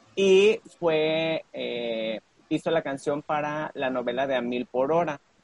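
At a very slow pace, a man with a fairly high pitch and ordinary pitch variation is heard in a dry, close sound with no echo. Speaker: podcast co-host. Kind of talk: casual chat.

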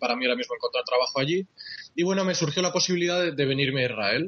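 A man talks at a very fast pace with ordinary pitch variation. Noticeable background noise runs throughout. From Spain. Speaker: journalist. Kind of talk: interview.

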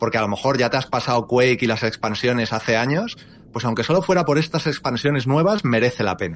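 A man with a plain, everyday voice, medium pitch and lively intonation, at a fairly quick pace. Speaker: YouTuber. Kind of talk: casual chat.

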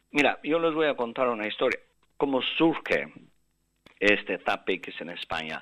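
A man speaks at a fairly slow pace and a medium pitch, with vocal fry. His pitch swings very widely, and his pauses are long and frequent. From Albanian father, Spanish mother; mother lived in Russia. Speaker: neurosurgeon. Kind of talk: interview.

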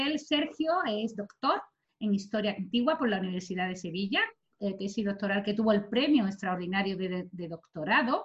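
A woman speaks in a normal speaking voice at a medium pitch. Her pace is moderate and her intonation lively. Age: 40s. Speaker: podcast host. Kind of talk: guest introduction; casual chat.

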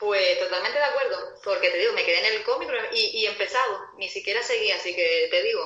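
A woman speaks in a Canarian accent at a fairly quick pace with very even loudness. Audible room echo surrounds her voice. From Canary Islands. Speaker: film discussion panelist. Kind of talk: casual chat.

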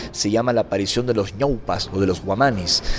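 A man's medium-pitched voice at a fairly quick pace, ordinary pitch variation, music in the background. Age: 40s. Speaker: author and lecturer on alien contact. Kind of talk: interview.

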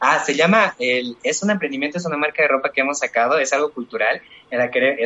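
A man with a fairly high pitch and ordinary pitch variation speaks fairly quickly amid noticeable background noise. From Bolivia, Chuquisaca valley, rural. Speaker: cooking content creator. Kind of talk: casual panel discussion.

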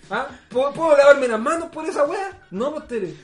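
Noticeable noise fills the background. The words come out very quickly. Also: man. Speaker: podcast host. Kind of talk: casual chat. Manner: animated.

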